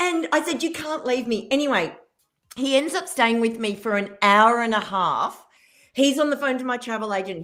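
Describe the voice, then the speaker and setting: The speaker has an animated tone and lively intonation, moving at a moderate pace in an Australian accent. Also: woman. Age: 50s. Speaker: keynote speaker and business mentor. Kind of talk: radio interview, telling a story.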